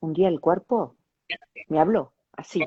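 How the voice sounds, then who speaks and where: A woman speaks at a moderate pace. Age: 60s. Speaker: interview show host. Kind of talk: interview.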